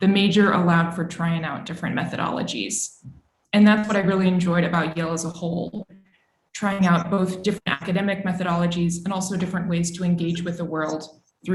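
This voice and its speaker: With audible room echo, a woman speaks very fast at a fairly low pitch in a monotone, flat intonation. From Texas, Austin. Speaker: journalist. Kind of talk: career talk to students. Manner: formal.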